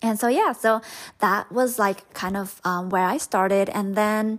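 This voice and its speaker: A woman speaks with a Southeast Asian accent at a fairly high pitch. Her intonation stays fairly even. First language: Hmong. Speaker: podcast host, spiritual coach. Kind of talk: personal storytelling monologue. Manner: casual, filler-heavy.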